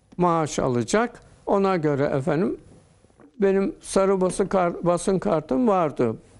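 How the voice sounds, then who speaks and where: This man's voice is high-pitched and his intonation is lively. He talks very slowly, keeping his loudness very even. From Turkey, Zonguldak Ereğli area; Turkey. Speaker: interview guest. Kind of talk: TV interview. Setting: TV studio. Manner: formal. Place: studio.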